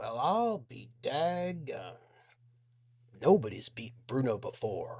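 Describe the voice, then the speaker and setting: Using a put-on character voice at a fairly high pitch, a man speaks at a very slow pace with very wide pitch swings and long, frequent pauses. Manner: astonished, folksy.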